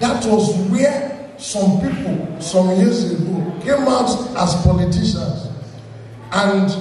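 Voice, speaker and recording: A man speaks in a high pitch with ordinary pitch variation, with light background noise and audible room echo. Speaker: stand-up comedian. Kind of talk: stand-up comedy routine. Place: stage.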